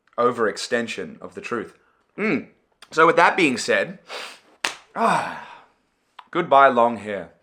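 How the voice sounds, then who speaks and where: The voice is animated, with a bright, sharp tone, on a very clean recording with a silent background. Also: man. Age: 20s. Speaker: video creator. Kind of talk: personal vlog monologue. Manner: loud.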